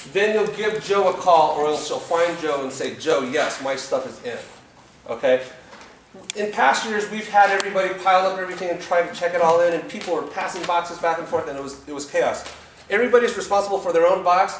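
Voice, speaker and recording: A man with a high pitch talks at a very fast pace, with ordinary pitch variation, big swings in loudness, audible room echo and noticeable background noise. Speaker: trip organizer leading team briefing. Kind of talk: group briefing.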